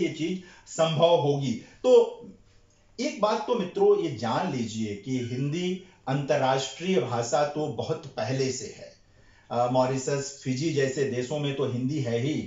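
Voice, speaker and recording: This man speaks with a Bihari accent. His pitch swings very widely. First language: Bhojpuri (speaking Hindi). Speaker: Hindi scholar / lecture speaker. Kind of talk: lecture at a seminar. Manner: hesitant with frequent fillers.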